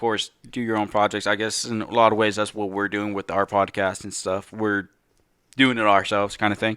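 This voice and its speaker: In a very clean recording with a silent background, a man speaks loudly and fairly quickly, his fairly low voice bright and sharp in tone. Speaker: podcast co-host. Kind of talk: casual chat. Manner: animated.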